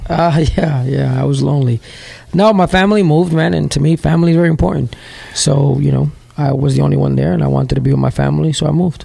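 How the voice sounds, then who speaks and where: A man with an American accent talks at a very fast pace and very even loudness. Background noise is noticeable. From New York City, Bronx. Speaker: CEO of a training school, paramedic. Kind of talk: interview. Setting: at his school building.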